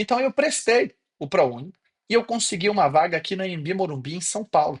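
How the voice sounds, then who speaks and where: A man with a high voice talks fairly quickly, his pitch swinging very widely. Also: dry, close sound with no echo. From Brazil, interior of Bahia (Gandu). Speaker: professor. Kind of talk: online class. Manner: casual.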